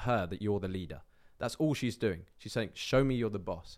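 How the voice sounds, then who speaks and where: A plain, everyday voice with ordinary pitch variation. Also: man, very clean recording, silent background. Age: 20s. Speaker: online business owner and men's coach. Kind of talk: casual chat.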